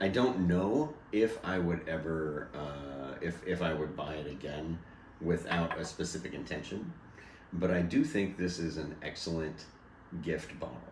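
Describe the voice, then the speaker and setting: A man speaks fairly slowly with a very deep, low pitch and ordinary pitch variation. Room echo can be heard. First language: not English. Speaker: bourbon tasting co-host. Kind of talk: casual chat. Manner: halting, self-correcting.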